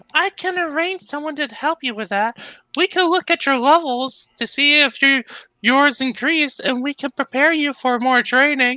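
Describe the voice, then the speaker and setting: Someone performs a put-on character voice on a very clean recording with a silent background. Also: man, extremely high pitch for a man, moderate pace. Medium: read story. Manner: warm and supportive.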